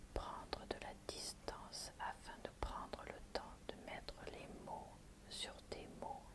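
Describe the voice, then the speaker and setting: Someone whispers at a very slow pace in a soothing tone, with noticeable background noise behind. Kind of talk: ASMR oracle card reading, relaxation. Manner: soft, soothing, whispered murmuring.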